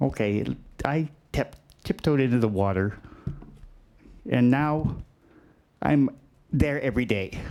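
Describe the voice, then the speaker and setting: A man's medium-pitched, dark, mellow voice with lively intonation, a fairly slow pace and long, frequent pauses. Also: very even loudness. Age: 60s. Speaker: senior center advocate speaking at public comment. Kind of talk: public comment.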